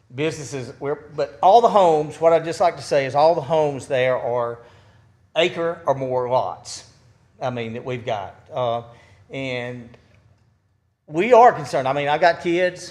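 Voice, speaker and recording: In an Alabama accent, a man with a fairly high pitch speaks fairly slowly with lively intonation and long, frequent pauses. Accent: Southern US (Alabama). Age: 60s. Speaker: resident speaking at public meeting. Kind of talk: public comment at city meeting. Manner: halting.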